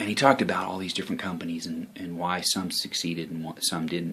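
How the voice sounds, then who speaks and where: Soft-spoken and very deep in pitch, a man talks with fairly even intonation. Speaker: online marketing vlogger. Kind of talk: casual vlog talk. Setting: home office. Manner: halting, many fillers.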